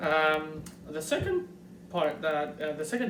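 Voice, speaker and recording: A man with a Montreal accent speaks in a high voice. There is noticeable background noise and audible room echo. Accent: Montreal French-Canadian. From Quebec, Montreal. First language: French. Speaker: YouTuber. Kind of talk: tutorial. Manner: fast; halting, many fillers.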